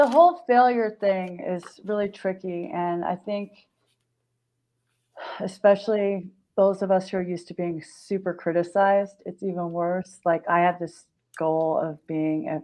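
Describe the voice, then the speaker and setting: A woman with an American accent and a fairly low pitch, an ordinary speaking voice at a moderate pace with ordinary pitch variation. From Pacific Grove, California. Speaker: marketing entrepreneur and author. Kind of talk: interview. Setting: live stream.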